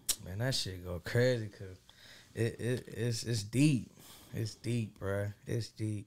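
Using an American accent, a man speaks at a very slow pace with a fairly low pitch and fairly even intonation. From Fort Worth, Texas. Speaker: rapper. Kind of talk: casual chat.

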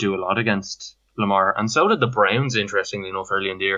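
A man speaks in a Dublin accent at a fairly quick pace. His voice sits fairly low. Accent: Dublin Irish. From Ireland, Dublin. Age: 30s. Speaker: fantasy football league owner. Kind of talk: casual chat.

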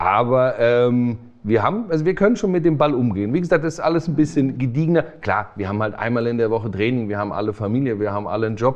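With ordinary pitch variation, a plain, everyday voice moves along at a fairly quick pace. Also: man. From Hesse, Offenbach area. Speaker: handball coach and physiotherapist. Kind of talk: casual interview.

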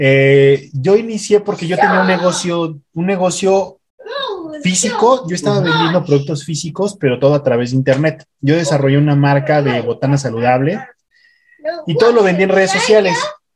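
With lively intonation, a man talks at a moderate pace in an ordinary speaking voice with a fairly high pitch. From Mexico City. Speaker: affiliate marketer. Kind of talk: casual interview. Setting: home.

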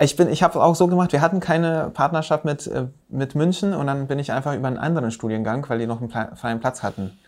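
Talking very fast, a man uses a fairly high pitch. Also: ordinary pitch variation, hardly any pauses. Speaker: podcast host, landscape architect. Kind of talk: casual chat.

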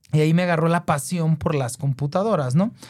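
The speaker goes at a very fast pace with fairly even intonation. The tone is dark and mellow, and somewhat breathy. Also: man. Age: 30s. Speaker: entrepreneur and tech content creator. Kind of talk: interview.

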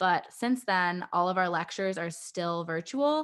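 Speaking in an unremarkable speaking voice, a woman with an American accent talks at a fairly low pitch against a quiet background. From Michigan, US. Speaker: dental student. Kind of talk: interview.

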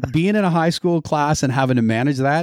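A man's normal speaking voice with a Canadian accent, fairly high pitched, lively in intonation, with a dry, close sound and no echo. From Ontario, Canada. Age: 50s. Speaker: taping educator and high school teacher. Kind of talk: casual interview chat. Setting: studio.

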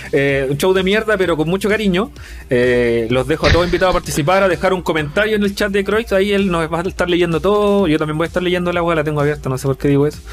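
Over noticeable background noise, a man speaks very fast at a high pitch. His loudness stays very even while his pitch varies in an ordinary way. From Chile. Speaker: podcast host. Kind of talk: casual chat. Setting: live stream.

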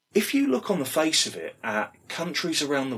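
Talking with lively intonation, a man speaks in a British accent. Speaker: podcast host, former pro wrestler. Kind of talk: casual interview chat.

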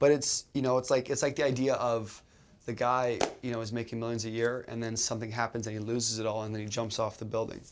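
Speaking at a very fast pace, a man with a Canadian accent keeps a monotone, flat intonation. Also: medium pitch for a man. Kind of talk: casual conversation.

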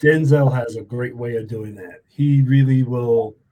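In an American accent, a man speaks very slowly at a medium pitch, somewhat breathy, with a dark, mellow tone and fairly even intonation. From New York. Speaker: podcast host. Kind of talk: casual interview. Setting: video call.

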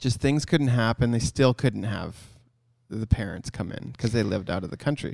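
A man talks in a Canadian accent with vocal fry. His pitch varies in an ordinary way. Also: medium pitch for a man, moderate pace. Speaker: photography business owner and podcast co-host. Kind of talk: casual chat. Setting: photography studio.

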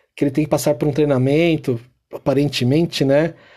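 This man's voice has a dark, mellow tone and sits fairly high in pitch. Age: 30s. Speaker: podcast host. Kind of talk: casual commentary. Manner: animated.

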